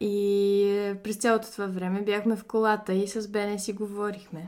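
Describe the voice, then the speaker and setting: At a fairly slow pace, a woman speaks with a medium pitch and a dark, mellow tone. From Bulgaria, Sofia. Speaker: guest's wife. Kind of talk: interview.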